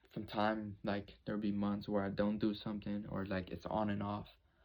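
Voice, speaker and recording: A man talks at a moderate pace in a fairly low voice, his intonation fairly even. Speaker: YouTuber. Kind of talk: personal vlog monologue. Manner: halting.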